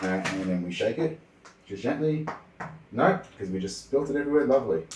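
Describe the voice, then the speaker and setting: A man talks at a fairly quick pace with an Australian accent. His pitch swings very widely. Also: medium pitch for a man. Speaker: streamer. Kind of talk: casual livestream cooking chat. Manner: quiet when focused.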